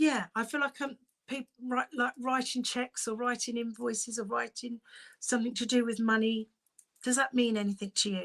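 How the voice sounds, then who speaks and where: A woman with a British accent speaks at a high pitch with fairly even intonation, in a dry, close sound with no echo. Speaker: psychic medium. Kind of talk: live-stream mediumship reading. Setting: live stream from home. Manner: fast.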